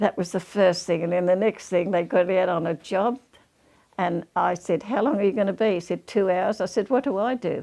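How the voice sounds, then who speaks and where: With an Australian accent, a woman with a medium-pitched, dark, mellow tone speaks at a fairly quick pace with ordinary pitch variation. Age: 90s. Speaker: war veteran. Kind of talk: interview storytelling.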